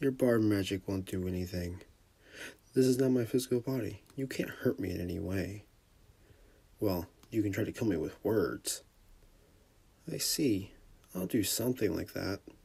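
A man's fairly low, dark, mellow and somewhat breathy voice at a moderate pace, with ordinary pitch variation and long, frequent pauses. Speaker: amateur comic dub voice actor. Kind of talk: fan comic dub.

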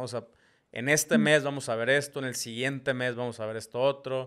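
A man with a Mexican accent against a quiet background. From Mexico. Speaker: podcast host. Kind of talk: casual interview. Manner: halting, many repetitions. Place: home room. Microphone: studio mic.

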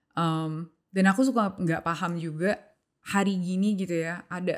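A woman is speaking. The background is quiet. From Indonesia. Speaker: podcast host. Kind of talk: casual interview chat; interview question. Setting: studio room. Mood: calm, curious. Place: studio. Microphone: studio mic.

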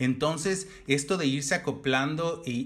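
Here is a man with a normal speaking voice. His pitch sits fairly high, with ordinary pitch variation. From Mexico, Oaxaca. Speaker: fashion designer. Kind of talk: casual chat.

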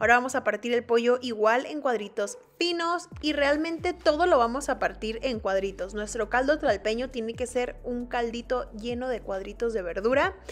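Lively intonation runs through speech at a moderate pace. There are hardly any pauses. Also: woman, high pitch for a woman. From Mexico. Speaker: fitness vlogger. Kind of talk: cooking vlog narration. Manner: casual, chatty. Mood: relaxed, friendly.

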